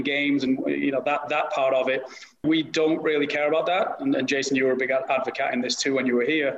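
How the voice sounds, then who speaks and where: Noticeable background noise sits behind this recording. A man speaks at a fairly quick pace in a fairly high pitch. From northern England. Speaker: youth soccer academy director. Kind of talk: panel discussion.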